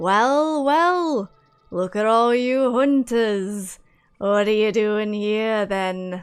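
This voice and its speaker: A woman's put-on character voice, fairly high and very slow, with faint music in the background. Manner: creepy, mocking.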